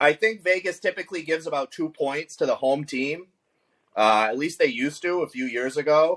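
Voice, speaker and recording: The delivery moves at a moderate pace with lively intonation, and the sound is dry and close with no echo. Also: man. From US East Coast. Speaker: fantasy football podcast co-host. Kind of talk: casual chat. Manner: loud.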